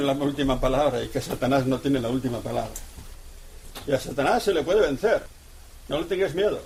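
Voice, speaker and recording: A man speaks at a very fast pace. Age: 80s+. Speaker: priest. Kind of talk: lecture. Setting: radio broadcast. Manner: animated.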